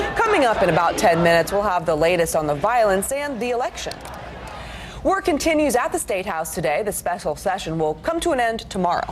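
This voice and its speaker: Over noticeable background noise, a woman races at a very fast pace, her medium pitch making very wide swings. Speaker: TV news anchor and reporter. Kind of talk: TV news anchor and reporter reel.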